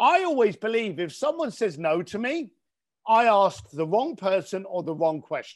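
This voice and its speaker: Speaking with a London accent, a man uses a high pitch and very wide pitch swings. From East London. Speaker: entrepreneur. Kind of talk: interview.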